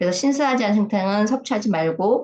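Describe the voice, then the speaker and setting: Her voice is a normal speaking voice at a fairly high pitch. The woman's intonation is lively. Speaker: health lecturer. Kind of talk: lecture. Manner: casual, with filler sounds.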